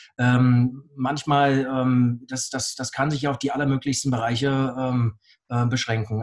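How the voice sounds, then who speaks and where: In a flat monotone, a man with a somewhat breathy, medium-pitched voice speaks at a moderate pace. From Bavaria, Augsburg. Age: 40s. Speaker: blockchain entrepreneur and speaker. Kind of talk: interview. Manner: halting, many fillers and repetitions.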